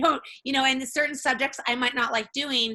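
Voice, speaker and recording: A woman talks at a fairly quick pace in a bright, sharp tone with fairly even intonation. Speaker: essential oils business presenter and bakery owner. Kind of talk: webinar presentation. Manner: fast.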